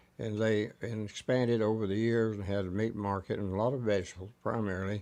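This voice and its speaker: Speaking with a Texas accent, a man with a fairly low voice talks at a fairly quick pace with fairly even intonation. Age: 80s+. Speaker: storyteller. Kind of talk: oral history. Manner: halting.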